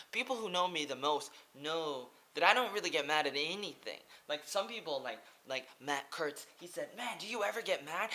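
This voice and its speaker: The speaker has an American accent and an animated, passionate tone. The voice is bright and sharp, with very wide pitch swings. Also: man. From Oregon, US. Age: 20s. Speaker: English teacher and vlogger. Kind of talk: vlog monologue.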